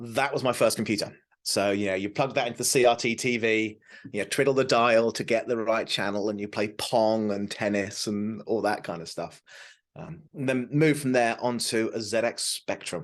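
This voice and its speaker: Against a quiet background, a man with a British accent and medium pitch speaks at a moderate pace with fairly even intonation. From southern England, south coast. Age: 40s. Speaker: tech advocate. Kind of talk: interview.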